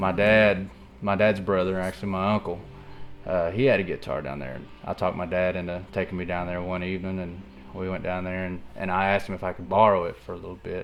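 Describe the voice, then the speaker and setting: Very deep and low, a man in an American accent speaks at a very fast pace with fairly even intonation. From Oklahoma, Tahlequah. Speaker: guitarist. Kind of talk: documentary interview. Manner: halting, many fillers.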